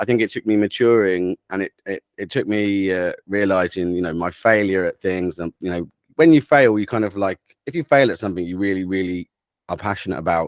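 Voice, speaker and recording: A man with a southern English accent, fairly low in pitch with ordinary variation, fairly quick in pace, in a dry, close sound with no echo. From England, Cambridgeshire. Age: 30s. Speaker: drum and bass producer. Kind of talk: interview.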